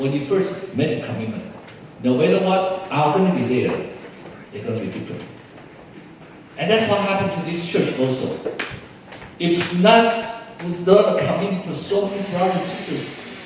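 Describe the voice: Strong room echo surrounds a man with a fairly high pitch and a slightly mellow tone. He speaks at a moderate pace with big pitch swings.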